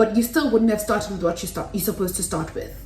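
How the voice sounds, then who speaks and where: A loud woman's voice, fairly high in pitch, with audible room echo. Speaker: YouTuber. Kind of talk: tutorial. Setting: home kitchen.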